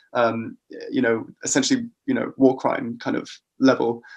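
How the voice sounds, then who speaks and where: A man with a British accent talks fairly quickly. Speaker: psychology researcher. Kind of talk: podcast interview. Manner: hesitant with fillers.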